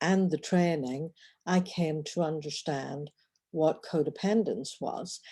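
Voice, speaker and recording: On a very clean recording with a silent background, a woman with an Irish accent speaks fairly slowly in a dark, mellow tone with ordinary pitch variation. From Northern Ireland. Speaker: relationship coach. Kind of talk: personal vlog monologue. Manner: halting.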